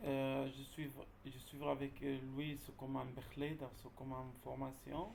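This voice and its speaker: Speaking with a Dutch accent, a man at medium pitch keeps a monotone, flat intonation and a fairly slow pace, with audible room echo. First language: Dutch (speaking French). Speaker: job seeker asking questions. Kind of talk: Q&A question. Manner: halting.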